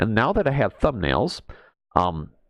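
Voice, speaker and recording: His pitch jumps across very wide swings. Vocal fry runs through the man's speech. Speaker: gaming video creator. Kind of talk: casual gameplay commentary. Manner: casual, scatterbrained.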